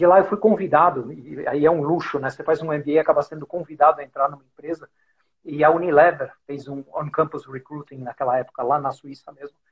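A man speaks at a fairly quick pace in a fairly high, somewhat breathy voice, his intonation fairly even while his loudness swings widely. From Brazil, São Paulo. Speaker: podcast host, business executive. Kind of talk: casual interview chat. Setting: Instagram live, video call.

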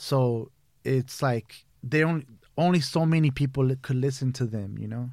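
Using a plain, everyday voice, a man with an American accent speaks at a moderate pace with fairly even intonation. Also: medium pitch for a man. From Brazil (São Paulo) then San Fernando Valley, Los Angeles from age 11. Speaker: edibles baker and business owner. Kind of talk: casual chat. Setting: studio.

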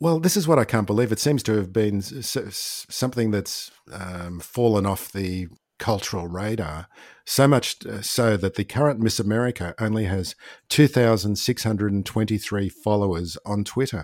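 With an Australian accent, a man speaks in a fairly low pitch. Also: ordinary pitch variation, moderate pace. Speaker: podcast host. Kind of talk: casual chat.

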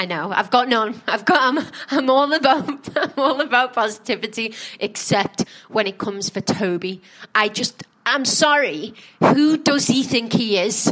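With lively intonation and a fairly high pitch, a woman speaks at a moderate pace against noticeable background noise. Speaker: podcast host. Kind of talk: casual chat reviewing a reality show.

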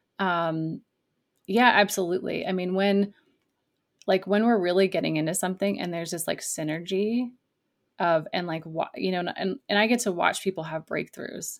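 A woman talks in a plain, everyday voice at medium pitch and a moderate pace, with ordinary pitch variation. The recording is very clean, with a silent background. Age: young. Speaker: life coach for artists. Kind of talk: interview conversation.

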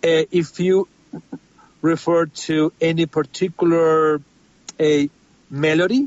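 A man talks at a very slow pace with a Spanish accent. His pitch is fairly high. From Spain. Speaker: film composer. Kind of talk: interview. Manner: halting.

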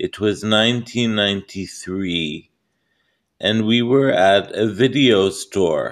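A man speaking at a very slow pace, his pitch fairly low. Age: 40s. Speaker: vlogger. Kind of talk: casual monologue.

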